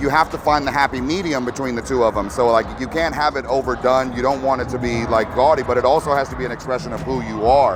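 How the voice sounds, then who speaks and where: A man with a Texan accent, medium-pitched, talking very fast with fairly even intonation over noticeable background noise. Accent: Texan American English. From Texas. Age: 40s. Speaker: lowrider builder. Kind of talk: interview. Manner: halting, many repeated words.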